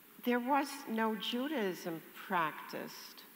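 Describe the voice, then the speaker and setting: A woman's voice with audible room echo. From Netherlands. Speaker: Holocaust survivor. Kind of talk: testimony in audience Q&A.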